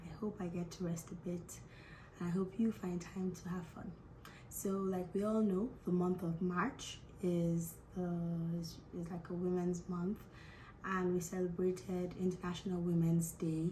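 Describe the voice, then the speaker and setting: Somewhat breathy and fairly low in pitch, a woman speaks at a fairly slow pace. Her intonation is monotone and flat. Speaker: education and visa consultant. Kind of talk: casual talk to camera.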